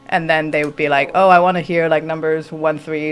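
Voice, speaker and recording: With music in the background, the speaker talks at a moderate pace in a monotone, flat intonation. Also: woman. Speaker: violinist and singer. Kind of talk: radio interview. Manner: halting.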